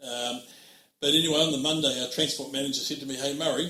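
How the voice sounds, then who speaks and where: A fairly high-pitched man with a New Zealand accent, very fast pace, fairly even intonation, and audible room echo. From New Zealand, Oamaru. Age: 60s. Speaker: trucking company managing director. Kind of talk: interview.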